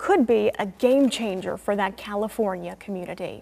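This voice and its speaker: Over a silent background in a very clean recording, a woman with an unremarkable speaking voice talks at a moderate pace with ordinary pitch variation. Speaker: news anchor. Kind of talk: TV news anchor read. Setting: studio.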